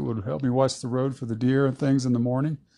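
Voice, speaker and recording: A man speaks in an East Texas accent. His tone is dark and mellow, with fairly even intonation. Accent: East Texas Southern American. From US South (Southeast Texas). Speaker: longtime local resident. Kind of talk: casual interview. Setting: at home.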